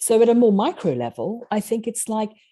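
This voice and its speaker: A woman speaks at a fairly quick pace in a South African accent, her tone dark and mellow. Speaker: author and leadership coach. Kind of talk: podcast interview.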